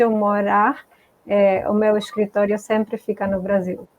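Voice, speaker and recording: A woman speaks slowly, at a fairly slow pace, with a Spanish accent. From Argentina. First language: Spanish (speaking Portuguese). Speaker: multicultural coach. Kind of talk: interview on live stream.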